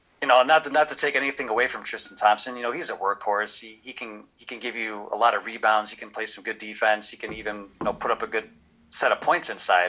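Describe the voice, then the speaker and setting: At a very fast pace with hardly any pauses, a man speaks at a medium pitch with ordinary pitch variation. His loudness swings widely, and noticeable background noise is present. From Cleveland, Ohio, US Midwest. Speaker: Twitch streamer and sports podcaster. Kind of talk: casual sports chat.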